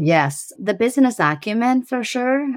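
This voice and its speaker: A woman with a slight Persian accent and lively intonation at a moderate pace, on a very clean recording with a silent background. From Iran. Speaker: tech startup CEO. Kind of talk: interview.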